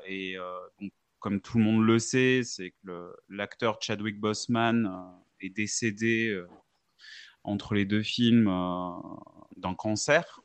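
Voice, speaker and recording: The man speaks very slowly, his fairly low voice held to fairly even intonation. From Switzerland, Geneva. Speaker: podcast co-host. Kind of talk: casual chat.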